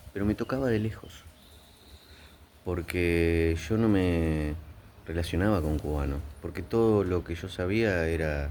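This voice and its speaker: Speaking with an Argentine accent, a man with a very deep, low pitch moves at a fairly slow pace, with ordinary pitch variation, long, frequent pauses and audible room echo. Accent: Rioplatense Argentine Spanish. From Argentina. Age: 60s. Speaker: psychiatrist. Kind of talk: video commentary. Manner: hesitant, with fillers.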